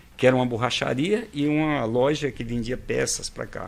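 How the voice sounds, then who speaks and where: A man speaks at a medium pitch with vocal fry. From Ceará, Brazil. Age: 70s. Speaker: entrepreneur. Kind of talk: podcast interview storytelling.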